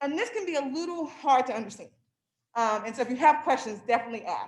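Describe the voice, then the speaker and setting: A woman talks at a very fast pace with a high pitch and very wide pitch swings. Her loudness rises and falls in big swings. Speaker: financial wellness presenter. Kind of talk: workshop presentation.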